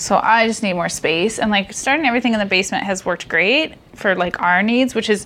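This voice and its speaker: A woman talks at a fairly quick pace with hardly any pauses, in a normal speaking voice at medium pitch with ordinary pitch variation. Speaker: podcast host. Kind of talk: casual chat.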